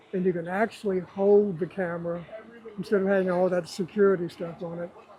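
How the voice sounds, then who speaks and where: A man's high voice at a fairly quick pace with fairly even intonation, over noticeable background noise. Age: 70s. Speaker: retired copy editor and photographer. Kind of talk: interview.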